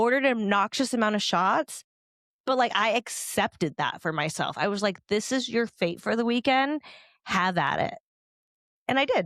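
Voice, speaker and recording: In a very clean recording with a silent background, a woman speaks at a fairly high pitch in an animated tone, her intonation lively and her loudness very even. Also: moderate pace, dry, close sound with no echo. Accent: Californian. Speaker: podcast host. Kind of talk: casual chat.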